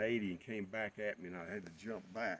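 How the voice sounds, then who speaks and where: In a North Carolina accent, a man speaks at a moderate pace. His pitch is fairly low, with ordinary pitch variation. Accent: Southern US (North Carolina). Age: 70s. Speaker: retired farm-raised local recalling childhood. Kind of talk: oral history interview. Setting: outdoors at a barn. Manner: halting, with many fillers.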